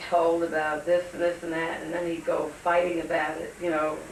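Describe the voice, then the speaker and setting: A woman's fairly low voice in a monotone, flat intonation, with audible room echo and noticeable background noise. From New York City, Brooklyn. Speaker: interviewee sharing family memories. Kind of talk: oral history interview.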